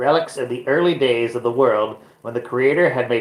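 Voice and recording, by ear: Someone reads aloud, using a natural voice.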